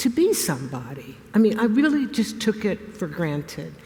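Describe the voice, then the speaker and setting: With very wide pitch swings, a woman at a fairly high pitch speaks at a moderate pace amid noticeable background noise. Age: 70s. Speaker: retired historian turned artist. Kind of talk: interview on stage.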